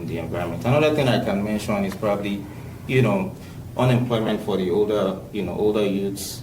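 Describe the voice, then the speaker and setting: Noticeable background noise under a man's fairly low-pitched, fairly quick speech. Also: ordinary pitch variation. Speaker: community leader. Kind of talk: podcast interview answer.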